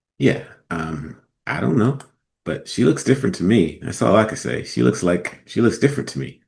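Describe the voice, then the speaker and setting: A man talks at a moderate pace with a fairly low pitch. His voice has vocal fry and very wide pitch swings. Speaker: radio host. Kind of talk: casual commentary. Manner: casual, hesitant.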